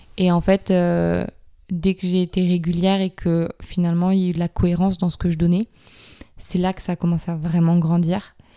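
The sound is dry and close with no echo, carrying a woman's dark, mellow voice at a fairly low pitch. She speaks fairly quickly in a flat monotone. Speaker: yoga teacher. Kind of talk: casual interview.

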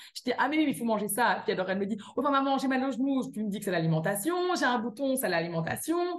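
Very fast and with very wide pitch swings, a woman speaks in a Belgian accent at a fairly high pitch. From Belgium. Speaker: cookbook author and wellness coach. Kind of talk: casual interview.

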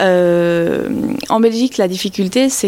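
Very slowly, a woman speaks in a medium pitch. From Belgium. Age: 30s. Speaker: craft brewer. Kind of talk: interview.

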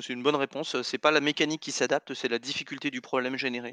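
A man with a medium pitch and a bright, sharp tone talks at a fairly quick pace with flat, monotone intonation, in a dry, close recording with no echo and a quiet background. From France. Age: 40s. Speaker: board game designer. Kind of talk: casual interview.

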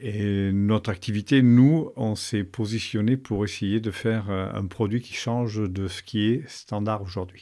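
A man's fairly low-pitched voice with a dark, mellow tone, very slow pace, hardly any pauses and fairly even intonation, in a very clean recording with a silent background. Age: 50s. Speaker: business founder. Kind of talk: interview. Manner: hesitant, many fillers.

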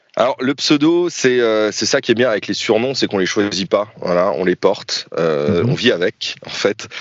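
A man at medium pitch speaks at a moderate pace with very wide pitch swings and hardly any pauses. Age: 30s. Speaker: YouTuber and airsoft player. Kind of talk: casual interview.

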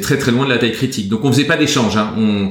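Noticeable background noise is present. Through it comes a man's medium-pitched voice. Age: 40s. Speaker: entrepreneur. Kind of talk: interview. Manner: hesitant, many fillers.

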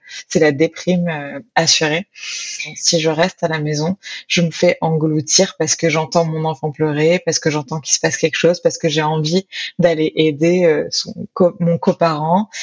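This woman speaks fairly low and fairly slowly. Her intonation is monotone and flat. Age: 30s. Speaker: author and sociologist. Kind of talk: interview testimony. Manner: hesitant.

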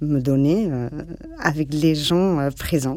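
This woman has a very deep, low pitch and fairly even intonation. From Barcelona, Spain. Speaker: interviewee sharing life story. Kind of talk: personal testimony interview. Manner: halting, many fillers and repetitions.

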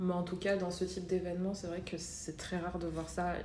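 A woman with a fairly low pitch talks at a moderate pace. Audible room echo and noticeable background noise are present. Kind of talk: casual chat.

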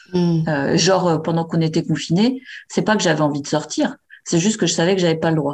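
A woman's normal speaking voice, fairly low in pitch, at a fairly quick pace with very even loudness and ordinary pitch variation. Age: 40s. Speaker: meet-up organizer, guest on polyamory. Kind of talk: casual interview. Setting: remote call by computer.

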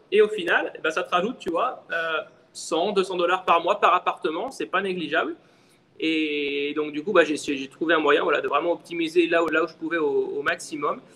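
A man talks at a moderate pace while noticeable background noise is heard. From France, Lyon. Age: 30s. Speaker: short-term rental entrepreneur. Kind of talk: interview.

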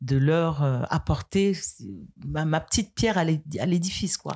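A woman speaks in a dark, mellow tone. The recording is very clean with a silent background, dry and close with no echo. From Cameroon, western region. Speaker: karate practitioner. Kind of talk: interview. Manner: calm.

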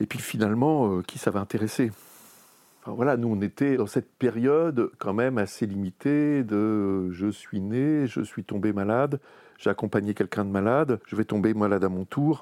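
At a moderate pace, a man with a fairly low pitch and a dark, mellow tone speaks with ordinary pitch variation, the sound dry and close with no echo against a quiet background. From Normandy, France. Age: 50s. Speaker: AIDS memorial association former president. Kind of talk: oral history interview. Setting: recorded interview in Paris.

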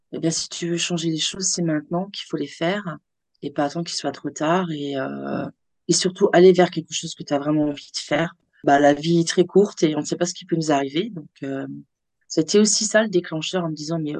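A woman talks at a fairly quick pace with a fairly low pitch. Her loudness swings widely. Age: 50s. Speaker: onco-hairdresser. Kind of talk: interview. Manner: animated.

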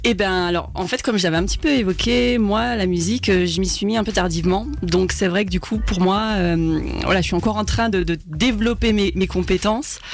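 Over noticeable background noise, a woman speaks at a moderate pace with very even loudness. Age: 30s. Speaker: singer. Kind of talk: radio interview. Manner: talkative, hesitant with fillers.

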